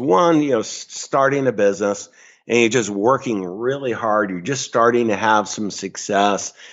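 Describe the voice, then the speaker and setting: In a normal speaking voice, a man with an American accent talks at medium pitch and a moderate pace. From upstate New York. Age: 60s. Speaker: financial advisor. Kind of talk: interview.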